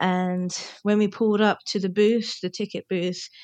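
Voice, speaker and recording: Using a British accent, a woman talks at a medium pitch with fairly even intonation. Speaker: podcast co-host. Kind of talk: casual chat. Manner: mumbles, runs words together.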